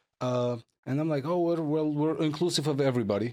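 The speaker has a strong Armenian accent and ordinary pitch variation. The recording is very clean, with a silent background. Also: man. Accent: thick Armenian-accented English. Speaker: podcast host and entrepreneur. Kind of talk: casual interview conversation.

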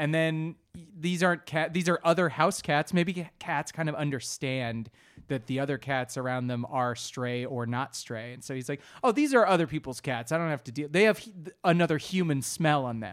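An ordinary speaking voice at a moderate pace with ordinary pitch variation, in a very clean recording with a silent background. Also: man, fairly high pitch for a man. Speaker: comedy podcast co-host. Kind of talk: casual chat.

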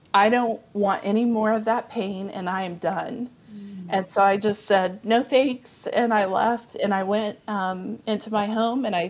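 Over noticeable background noise, a woman with a Texan accent speaks at a moderate pace in a fairly high pitch, her intonation fairly even. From Texas, Amarillo. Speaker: biblical counselor and author. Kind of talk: testimony.

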